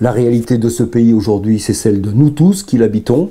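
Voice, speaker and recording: This man's voice sits at a medium pitch, with a dark, mellow tone and ordinary pitch variation. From Provence, southern France; lived in Chamonix 50+ years. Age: 70s. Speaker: mountain guide and filmmaker, local election supporter. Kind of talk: interview testimony. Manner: halting, many hesitations.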